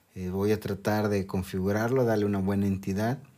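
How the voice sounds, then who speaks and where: Against a silent background in a very clean recording, a man speaks at a fairly low pitch in a monotone, flat delivery. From Mexico. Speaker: podcast host, university lecturer. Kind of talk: casual solo monologue. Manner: hesitant, with fillers and repetitions.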